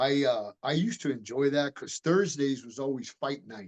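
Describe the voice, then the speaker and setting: Speaking with an American accent at a moderate pace, a man has an unremarkable speaking voice at a medium pitch, with ordinary pitch variation and a dry, close sound with no echo. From Miami, Florida, US. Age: 60s. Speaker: martial artist and retired police detective. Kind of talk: interview. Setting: podcast interview.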